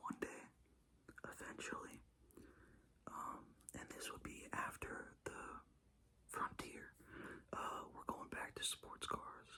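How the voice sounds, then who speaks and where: A man whispering in a relaxed tone at a very slow pace. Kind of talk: casual talk to camera about cars. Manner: whispered, relaxed.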